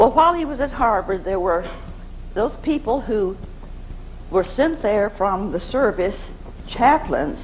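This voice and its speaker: Long, frequent pauses break up this fairly slow delivery, with noticeable background noise throughout. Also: woman. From Arkansas. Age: 80s+. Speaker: navy chaplain's wife. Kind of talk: spoken memoir talk.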